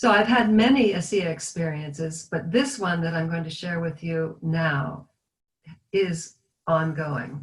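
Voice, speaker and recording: With lively intonation and a fairly low pitch, a woman uses an ordinary speaking voice at a fairly slow pace. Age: 60s. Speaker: product user giving testimonial. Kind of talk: testimony.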